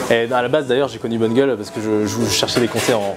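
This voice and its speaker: Noticeable background noise runs under a man of medium pitch. He speaks very fast, with ordinary pitch variation. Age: 20s. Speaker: fashion editor. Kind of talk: interview. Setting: small food shop. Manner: casual, hesitant with many fillers.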